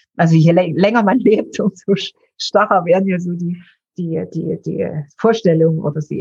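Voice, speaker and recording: A woman with a fairly low pitch, a dark, mellow tone, vocal fry, ordinary pitch variation and a moderate pace. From eastern Germany, Dresden. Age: 60s. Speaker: founder of a mental health charity. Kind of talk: interview.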